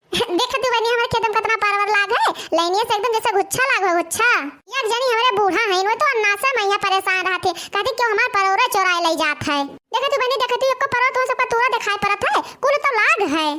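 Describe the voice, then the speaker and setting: In a cartoonish character voice, a woman speaks very fast with an extremely high pitch. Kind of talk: village cartoon comedy. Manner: bossy, sharp-tongued.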